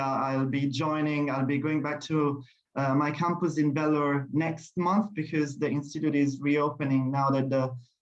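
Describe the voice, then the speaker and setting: A man's fairly high, monotone voice with flat intonation, in an Italian accent, at a fairly slow pace. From Italy. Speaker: language teacher. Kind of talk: formal speech. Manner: halting.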